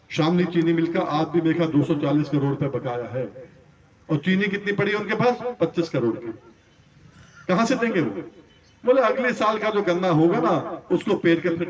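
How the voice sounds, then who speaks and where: A high-pitched man at a moderate pace with long, frequent pauses and noticeable background noise. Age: 60s. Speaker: farmer leader. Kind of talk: political speech to farmers. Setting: stage with audience.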